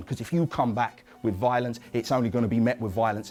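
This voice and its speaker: Medium-pitched male speech with music playing behind it. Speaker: workshop presenter and bereaved uncle campaigning against violence. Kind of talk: educational workshop talk.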